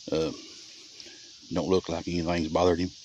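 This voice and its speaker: Quiet and very deep, a man's voice with an American accent keeps a monotone, flat intonation. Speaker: trapper. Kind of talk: casual field narration. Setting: outdoors. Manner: quiet, speaking low.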